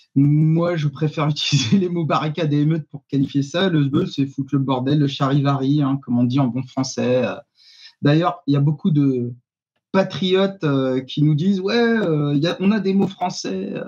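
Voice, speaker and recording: A man with a fairly high pitch talks at a moderate pace. His voice is somewhat breathy, with ordinary pitch variation. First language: Arabic (speaking French). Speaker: activist. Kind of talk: panel discussion. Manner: hesitant, many fillers.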